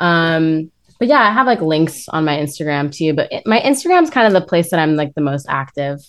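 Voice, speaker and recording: A woman with an American accent and a fairly low pitch talks at a fairly quick pace with lively intonation, in a normal speaking voice. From US West Coast, Los Angeles. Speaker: actress and musician. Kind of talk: casual chat.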